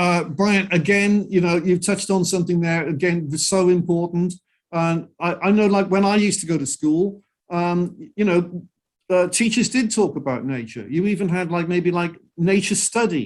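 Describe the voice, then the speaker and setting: The speaker has a Welsh accent and talks at a moderate pace. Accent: Welsh (Cardiff) English. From Wales (Cardiff). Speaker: singer-songwriter and environmentalist. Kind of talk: interview. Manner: halting, many repetitions.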